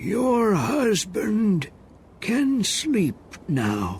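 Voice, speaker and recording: Putting on a character voice, a man speaks in a high pitch over clear background noise. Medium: read story.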